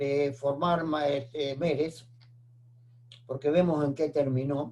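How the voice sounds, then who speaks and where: Very slow delivery comes from a man with a dark, mellow tone. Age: 80s+. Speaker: retired microbiologist, oral history interviewee. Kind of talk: oral history interview. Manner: halting, with fillers.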